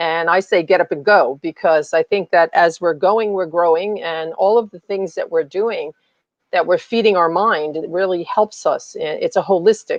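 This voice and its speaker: She has a normal speaking voice at medium pitch, moving at a moderate pace. This woman's intonation is fairly even. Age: 60s. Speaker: summit speaker, running coach. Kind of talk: live interview. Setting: live stream.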